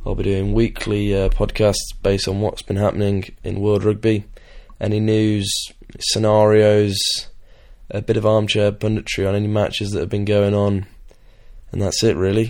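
A man with an English accent, dark and mellow in tone, at a moderate pace, in a flat monotone with long, frequent pauses. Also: fairly low pitch for a man. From England. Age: young. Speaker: podcast host, student rugby player. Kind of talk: casual monologue. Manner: hesitant, many fillers.

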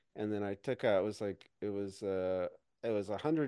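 A man talks in a fairly low pitch with a dark, mellow tone and a slight Midwestern US accent. The background is quiet. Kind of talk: casual chat.

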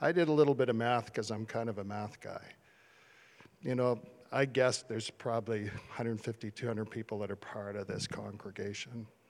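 A man with a Canadian accent speaks in an unremarkable speaking voice at medium pitch, fairly quickly and with fairly even intonation. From Canada, small town Ontario. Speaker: church leader. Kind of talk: encouragement address. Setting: church service.

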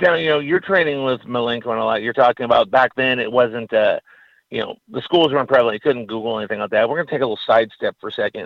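A man rattles along at a very fast pace, his pitch medium. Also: ordinary pitch variation. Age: 40s. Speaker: radio co-host, wrestling writer. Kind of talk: radio interview. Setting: remote studio.

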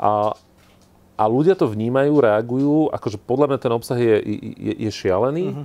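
A man of medium pitch talks at a moderate pace with ordinary pitch variation, his tone dark and mellow over a quiet background. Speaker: event host and interviewer. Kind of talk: live interview before an audience.

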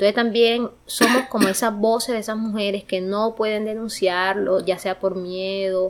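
At a moderate pace and medium pitch, a woman with a normal speaking voice talks with fairly even intonation and hardly any pauses. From Sucre, Caribbean coast of Colombia. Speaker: student leader and theatre performer. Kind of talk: interview. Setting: in Vancouver, Canada.

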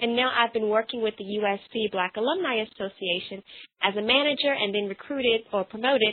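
At a fairly quick pace, a woman talks in an animated, passionate tone with a fairly high pitch and ordinary pitch variation. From North Carolina. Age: 20s. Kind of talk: interview.

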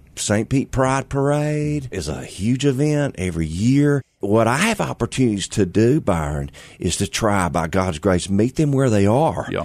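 Against a quiet background, a man with a Southern US accent speaks with very wide pitch swings. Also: medium pitch for a man, moderate pace. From Mississippi, US South. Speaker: pastor. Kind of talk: casual interview chat. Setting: studio.

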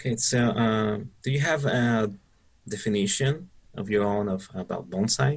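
A man with a Spanish accent at a moderate pace, fairly low in pitch, with ordinary pitch variation. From Mexico. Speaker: bonsai club member interviewer. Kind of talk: interview.

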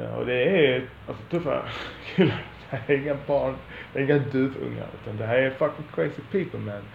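A man at a fairly quick pace, with big swings in loudness, audible room echo and noticeable background noise. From Sweden, Lund. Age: 40s. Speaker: podcaster. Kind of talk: monologue. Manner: halting.

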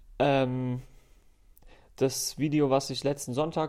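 A man with a fairly high pitch is heard on a very clean recording against a silent background. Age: 20s. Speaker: recurring podcast guest. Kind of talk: casual chat. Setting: office studio.

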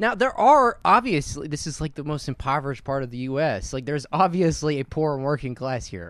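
With a normal speaking voice, a man talks at a fairly quick pace and fairly high pitch, his intonation lively, on a very clean recording with a silent background. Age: 30s. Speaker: podcast host. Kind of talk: casual chat.

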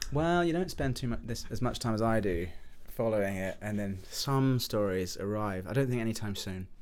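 Lively intonation carries this speech in an English accent. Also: man, medium pitch for a man, moderate pace. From England. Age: 30s. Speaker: film student. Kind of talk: casual chat.

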